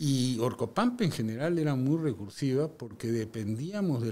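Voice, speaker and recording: A man's dark, mellow tone at a moderate pace, with ordinary pitch variation. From Peru, Lima; Peru. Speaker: mining engineer and company director; guest. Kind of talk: interview conversation. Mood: calm, reflective storytelling. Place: studio. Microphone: studio mic.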